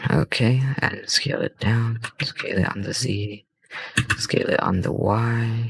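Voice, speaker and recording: A quiet man's voice at a fairly slow pace, with fairly even intonation. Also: medium pitch for a man. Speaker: 3D software tutorial youtuber. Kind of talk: tutorial. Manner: casual, hesitant with fillers.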